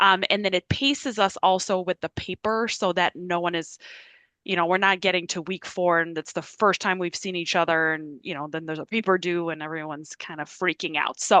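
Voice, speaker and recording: With a Quebec accent, a woman speaks at a fairly quick pace and fairly low pitch with fairly even intonation. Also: dry, close sound with no echo. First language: French. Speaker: university professor. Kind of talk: informal office hours talk. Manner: casual with many fillers.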